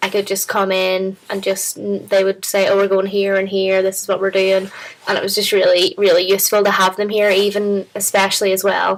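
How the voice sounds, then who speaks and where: With a Northern Irish accent, a woman talks at a fairly quick pace and medium pitch in monotone, flat intonation over noticeable background noise. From Northern Ireland. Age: 20s. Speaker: international exchange student. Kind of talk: interview. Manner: casual, hesitant.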